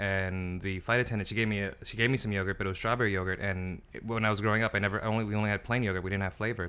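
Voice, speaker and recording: A man's fairly low-pitched voice, bright and sharp in tone, at a very fast pace with hardly any pauses and monotone, flat intonation. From US, raised from early childhood; Ethiopian family. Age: 30s. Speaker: comedian. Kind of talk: casual chat. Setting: kitchen table.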